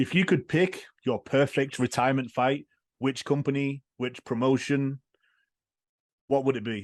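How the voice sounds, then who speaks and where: A man speaks at medium pitch and a fairly slow pace, with fairly even intonation and long, frequent pauses. The sound is dry and close with no echo, over a quiet background. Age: 30s. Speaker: podcast host. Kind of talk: interview.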